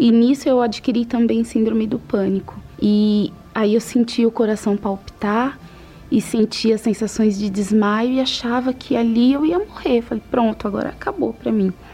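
A woman's fairly high-pitched voice at a moderate pace, with ordinary pitch variation and music in the background. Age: 40s. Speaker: administrative assistant giving faith testimony. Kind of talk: testimony.

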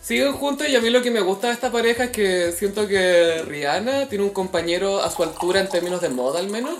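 Music plays in the background as a woman talks at a fairly quick pace with hardly any pauses. Her medium pitch moves in very wide swings. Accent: Chilean. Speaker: podcast co-host. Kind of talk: casual chat.

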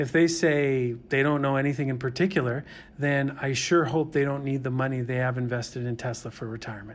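A man with an unremarkable speaking voice moves along fairly quickly, medium in pitch and fairly even in intonation. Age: 50s. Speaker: investment fund manager. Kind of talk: interview.

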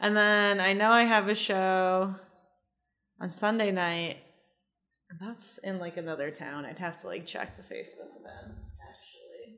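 A woman's voice has a bright, sharp tone at a medium pitch, with fairly even intonation. Her loudness swings a lot. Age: 20s. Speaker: comedian. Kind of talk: casual chat. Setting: studio. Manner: fast.

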